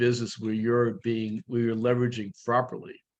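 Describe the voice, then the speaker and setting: The intonation holds fairly even. Overall, it is an unremarkable speaking voice. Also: man. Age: 60s. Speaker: real estate brokerage leader, guest coach. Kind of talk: coaching session Q&A on video call. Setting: video call.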